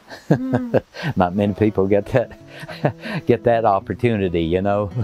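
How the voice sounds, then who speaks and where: Music plays in the background as a man with an American accent speaks at a moderate pace. His voice is fairly low with ordinary pitch variation, and the sound is dry and close with no echo. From North Carolina, USA. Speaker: retired photographer. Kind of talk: interview answer. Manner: relaxed, conversational.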